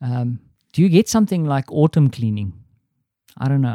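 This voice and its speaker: A man with a South African accent has a dark, mellow tone in a dry, close sound with no echo, recorded very cleanly against a silent background. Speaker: podcast host. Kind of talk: casual solo audio diary. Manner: rambling, conversational.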